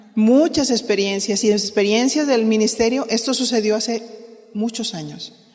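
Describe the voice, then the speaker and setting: A woman's speech comes through audible room echo and noticeable background noise. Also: fairly high pitch for a woman, ordinary pitch variation, moderate pace. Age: 60s. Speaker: pastor's wife teaching women leaders. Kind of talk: sermon-style teaching.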